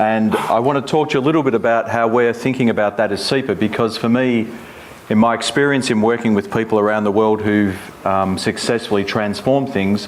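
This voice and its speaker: Over noticeable background noise, a man with an Australian accent speaks fairly quickly at medium pitch with fairly even intonation. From Australia, Melbourne. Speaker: environmental agency head. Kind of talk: keynote speech.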